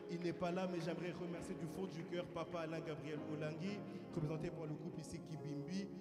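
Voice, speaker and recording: A man with a high pitch talks at a fairly quick pace with fairly even intonation. Room echo is audible, and music plays in the background. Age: 20s. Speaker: preacher. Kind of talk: sermon. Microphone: mic held poorly.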